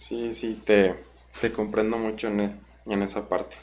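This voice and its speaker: A man with a plain, everyday voice talks at a fairly slow pace and a fairly low pitch. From Guanajuato, Mexico. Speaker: podcast host, speedcuber. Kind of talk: casual interview.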